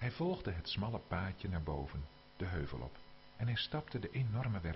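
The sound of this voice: With lively intonation, an unforced reading voice goes through the text.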